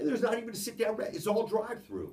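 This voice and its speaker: The speaker is a man. His voice has vocal fry. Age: 70s. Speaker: business founder. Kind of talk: talk to a group.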